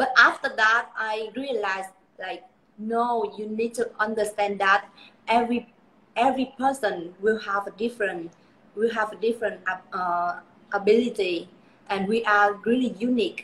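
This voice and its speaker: Speaking with a Vietnamese accent, a woman uses a fairly high pitch and ordinary pitch variation, leaving long, frequent pauses. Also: moderate pace. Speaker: beauty pageant titleholder. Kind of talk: live interview. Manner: halting, with many fillers.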